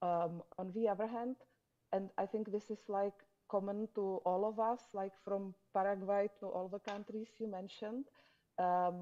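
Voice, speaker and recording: In a Czech accent, this woman talks at a fairly slow pace with a medium pitch, a dark, mellow tone and monotone, flat intonation. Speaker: conference panelist. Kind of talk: panel discussion.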